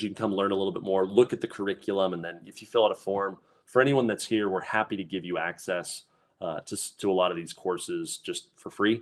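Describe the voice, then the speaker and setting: A man talks at a fairly quick pace and fairly low pitch, with ordinary pitch variation and big swings in loudness. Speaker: process design instructor. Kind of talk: webinar presentation. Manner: hesitant, repeats words.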